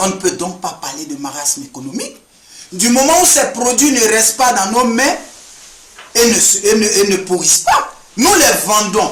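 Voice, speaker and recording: A man talks at a fairly slow pace with a high pitch and very wide pitch swings. Noticeable background noise and audible room echo surround him. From Ivory Coast. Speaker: sociology student. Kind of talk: address to camera. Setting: indoor room. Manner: formal.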